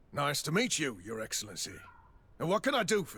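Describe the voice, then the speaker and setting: A man puts on a raspy character voice, fairly high in pitch with very wide pitch swings. He moves at a fairly quick pace. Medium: video game.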